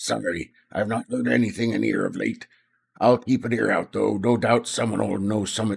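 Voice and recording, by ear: A man puts on a character voice, gravelly and raspy, pitched fairly low. He speaks at a moderate pace.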